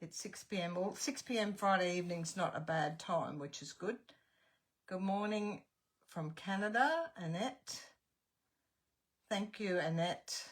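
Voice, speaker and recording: With an Australian accent, a woman speaks at a medium pitch and a fairly slow pace, her somewhat breathy voice showing ordinary pitch variation and long, frequent pauses. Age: 70s. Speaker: craft tutor. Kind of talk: live-stream chat and craft tutorial. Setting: live stream.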